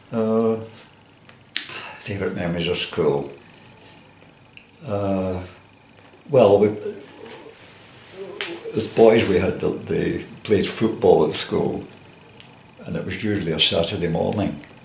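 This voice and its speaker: A man's fairly low voice with ordinary pitch variation, long and frequent pauses, and noticeable background noise. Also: fairly slow pace. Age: 80s+. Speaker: former coal miner and joiner. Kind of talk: oral history interview answer.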